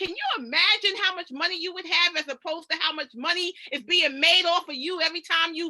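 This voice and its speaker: An animated, raised, projected voice at a fairly quick pace, in an American accent, with a dry, close sound and no echo. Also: woman. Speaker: financial coach. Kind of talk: presentation. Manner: fast.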